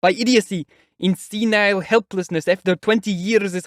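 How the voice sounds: There's a quiet background behind a natural reading voice.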